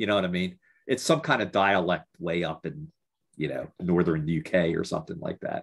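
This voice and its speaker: A man with an American accent speaks in a very deep, low voice. His pitch swings very widely. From US, Baltimore. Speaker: podcast host / interviewer. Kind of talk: casual interview chat.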